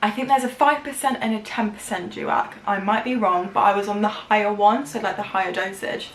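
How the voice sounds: A woman speaks at a fairly quick pace and medium pitch with ordinary pitch variation, and audible room echo surrounds her.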